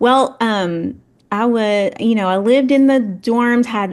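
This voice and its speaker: The speaker has a Tennessee accent and ordinary pitch variation. The background is quiet. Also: woman. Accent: Southern US (Tennessee). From West Tennessee (Paris). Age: 40s. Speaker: tourism executive. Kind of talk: podcast interview.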